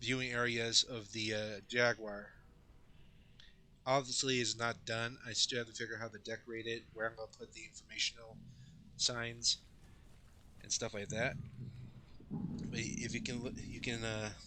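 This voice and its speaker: Speaking with an American accent, a man at medium pitch keeps a moderate pace and fairly even intonation, with long, frequent pauses. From Colorado, US. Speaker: gaming YouTuber. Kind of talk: game walkthrough commentary. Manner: halting, with fillers and restarts.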